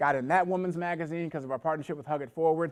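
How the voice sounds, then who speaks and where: Over a quiet background, a man with an American accent speaks in an animated tone at a fairly high pitch. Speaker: network marketing presenter. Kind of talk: sales pitch. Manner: fast.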